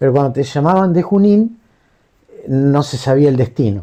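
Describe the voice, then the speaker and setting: Speaking at a moderate pace, a man with a fairly high pitch and a dark, mellow tone makes very wide swings in pitch. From Argentina, Pergamino, Buenos Aires province. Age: 60s. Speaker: war veteran. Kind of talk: interview testimony.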